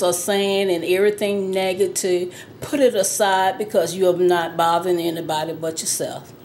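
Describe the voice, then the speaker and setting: Noticeable background noise and audible room echo surround this woman. She talks at a moderate pace with a medium pitch. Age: 60s. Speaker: interviewee sharing personal experience. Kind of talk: testimony.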